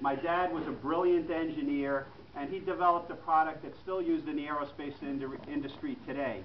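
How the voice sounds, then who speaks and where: At a fairly quick pace, a man with a New York accent speaks at a fairly high pitch with ordinary pitch variation, amid audible room echo and noticeable background noise. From New York City (Queens). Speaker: political candidate. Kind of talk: campaign speech. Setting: restaurant meeting room with audience.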